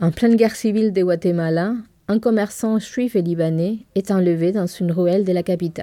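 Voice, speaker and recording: Dark and mellow in tone, this voice speaks with a Spanish accent and ordinary pitch variation. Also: woman. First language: Spanish (speaking French). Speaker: bookseller, podcast co-host.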